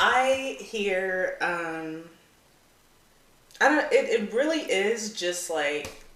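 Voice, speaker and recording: A woman with a fairly high pitch speaks at a very slow pace, leaving long, frequent pauses. Her pitch swings very widely, and audible room echo surrounds her voice. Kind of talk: casual chat. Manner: halting.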